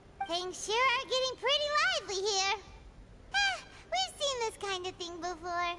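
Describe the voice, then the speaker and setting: A woman does a put-on character voice, squeaky and extremely high in pitch. Light background noise sits behind her. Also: moderate pace. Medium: video game. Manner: sweet, upbeat.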